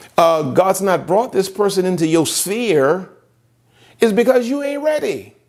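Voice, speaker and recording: A high-pitched man with an American accent, very wide pitch swings, a fairly slow pace, and audible room echo. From US South. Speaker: pastor. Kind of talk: sermon.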